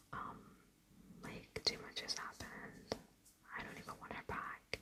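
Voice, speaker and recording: Whispering, a woman speaks at a fairly slow pace. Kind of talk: ASMR whisper ramble, casual personal talk. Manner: whispered, soft-spoken.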